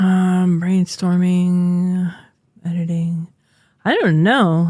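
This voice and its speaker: Somewhat breathy speech at a very slow pace, with monotone, flat intonation. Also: woman. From French Canada. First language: French. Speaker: streamer and podcast co-host. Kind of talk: casual podcast chat.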